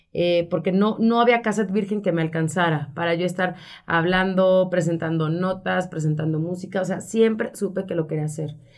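A woman talks at a moderate pace in a plain, everyday voice. Her pitch is fairly low and her intonation fairly even. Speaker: radio announcer and communications professional. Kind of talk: interview.

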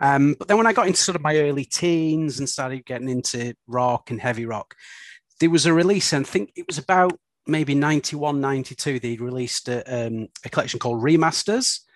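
At a moderate pace, a man with a Lancashire accent and a fairly high pitch speaks with ordinary pitch variation in a dry, close sound with no echo over a quiet background. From Bolton, northern England. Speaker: podcast co-host. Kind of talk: casual chat.

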